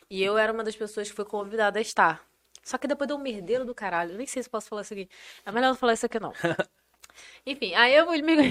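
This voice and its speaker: A woman speaks very fast with a fairly high pitch and ordinary pitch variation, in an interior Rio de Janeiro accent. Long pauses come often. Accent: noticeable interior Rio de Janeiro. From northern Rio de Janeiro state (Campos). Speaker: engineer and content creator. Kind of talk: casual chat.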